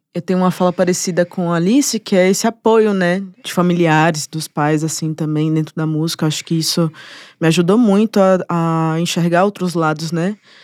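With an unremarkable speaking voice, a woman at a fairly low pitch talks at a moderate pace in fairly even intonation, on a very clean, dry, close recording with no echo and a silent background. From Brazil, Bahia (Salvador). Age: 20s. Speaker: musician and producer. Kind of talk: casual interview chat.

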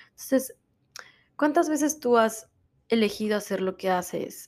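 In a very clean recording with a silent background, a woman with a dark, mellow tone speaks at a moderate pace. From Mexico. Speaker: podcast host, wellness coach. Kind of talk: motivational self-help talk.

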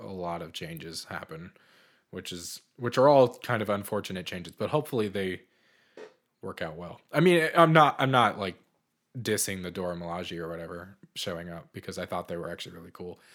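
A man with an American accent and an unremarkable speaking voice, fairly low in pitch, with lively intonation, big swings in loudness, a moderate pace, and a very clean recording with a silent background. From US Northeast, Boston. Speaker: podcast co-host. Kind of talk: casual chat.

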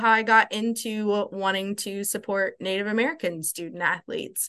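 A woman at a medium pitch with a bright, sharp tone, moderate pace and a quiet background. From Louisville, Kentucky. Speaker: higher education professional and advocate. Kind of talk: podcast interview.

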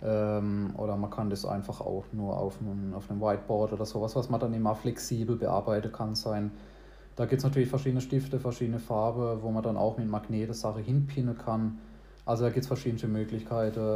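A man's medium-pitched, somewhat breathy voice, dark and mellow in tone, with monotone, flat intonation. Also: fairly quick pace. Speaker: podcast host. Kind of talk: casual chat. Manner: talkative.

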